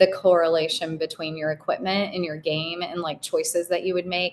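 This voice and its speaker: A woman's fairly low-pitched voice at a very fast pace, monotone and flat in intonation. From Kentucky. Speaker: golf content creator. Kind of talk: casual chat.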